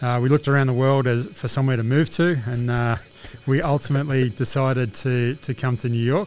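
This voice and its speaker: With an Australian accent, a man talks at a fairly quick pace in a medium pitch and fairly even intonation. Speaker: laundromat business owner. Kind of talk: interview. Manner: hesitant, many fillers.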